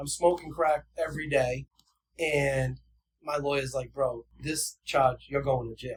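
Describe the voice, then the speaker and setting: A man with an American accent talks at a fairly slow pace, his fairly high voice somewhat breathy. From New Bedford, Massachusetts. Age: 40s. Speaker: person in long-term recovery. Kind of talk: casual interview chat, telling life story. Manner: animated.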